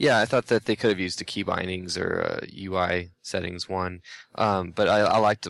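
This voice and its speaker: A man speaks at a moderate pace in a normal speaking voice, fairly low in pitch with fairly even intonation. The sound is dry and close with no echo, over a quiet background. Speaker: gaming writer. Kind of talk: casual chat.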